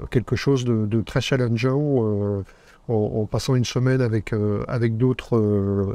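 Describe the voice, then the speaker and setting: A dark, mellow tone with very even loudness and fairly even intonation moves at a fairly slow pace over a quiet background. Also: man, medium pitch for a man. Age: 60s. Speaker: retired entrepreneur, course participant. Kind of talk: interview. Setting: on location at an event in Phuket. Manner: halting, many repetitions and fillers.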